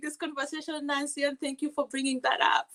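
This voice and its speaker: In a non-native accent, a woman projects a raised, high-pitched voice with a bright, sharp tone, recorded dry and close with no echo. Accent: foreign. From Kenya. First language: not English. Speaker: community advocate and TV co-host. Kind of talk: podcast interview. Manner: repetitive stammering restarts.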